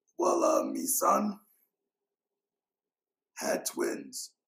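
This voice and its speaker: In a put-on character voice, a man speaks at an extremely high pitch with a raspy sound. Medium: puppet. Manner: gruff, broken grammar.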